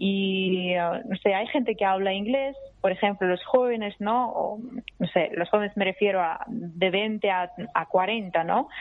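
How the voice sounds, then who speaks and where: A woman's unremarkable speaking voice at medium pitch with ordinary pitch variation. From Russia. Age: young. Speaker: journalist. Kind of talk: interview.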